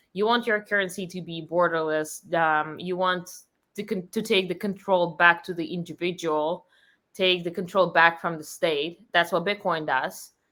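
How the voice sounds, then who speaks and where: A woman's fairly low-pitched voice in a Russian accent, bright and sharp in tone, with fairly even intonation, a moderate pace, and a very clean recording over a silent background. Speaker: company founder. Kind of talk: interview.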